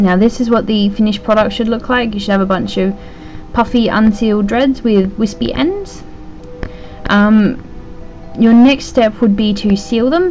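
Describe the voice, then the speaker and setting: With music in the background, a woman talks at a moderate pace, using ordinary pitch variation and long, frequent pauses. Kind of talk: tutorial voice-over. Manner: hesitant, casual.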